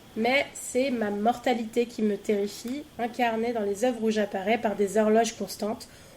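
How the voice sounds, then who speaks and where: Over noticeable background noise, a woman speaks at a fairly high pitch and fairly slow pace in a monotone, flat intonation, with hardly any pauses. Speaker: podcast quiz host. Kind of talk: reading quiz questions.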